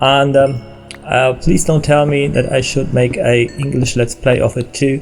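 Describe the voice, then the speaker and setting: A man with a German accent speaks at a medium pitch. His intonation is monotone and flat, with music in the background. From Germany. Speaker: gaming video creator and musician. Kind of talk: let's play commentary. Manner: halting, many fillers.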